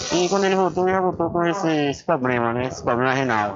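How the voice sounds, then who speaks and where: Over noticeable background noise, the speech races along at a very fast pace with lively intonation. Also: man. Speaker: municipal public works official. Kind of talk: radio interview.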